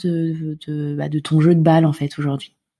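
In a very clean recording with a silent background, a woman speaks with a dark, mellow tone that is somewhat breathy. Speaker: podcast host. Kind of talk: interview; scripted narration.

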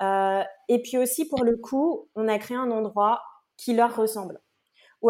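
In a very clean recording with a silent background, a woman speaks in a fairly high pitch with a dark, mellow tone and fairly even intonation. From French Guiana. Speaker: entrepreneur, community founder. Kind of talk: podcast interview.

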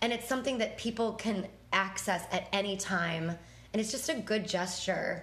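Background noise is noticeable as a woman speaks at a moderate pace. Her voice sits at medium pitch, with ordinary pitch variation and very even loudness. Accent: American. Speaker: podcast co-host and dance instructor. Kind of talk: casual chat.

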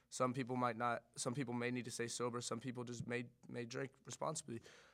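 Man with an unremarkable speaking voice, medium pitch, fairly quick pace. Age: 20s. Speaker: guest sharing recovery story. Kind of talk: casual chat.

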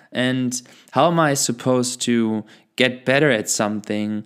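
A man with a normal speaking voice and medium pitch talks fairly slowly with fairly even intonation in a very clean recording with a silent background. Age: 20s. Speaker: podcast host. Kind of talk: personal monologue. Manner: reflective.

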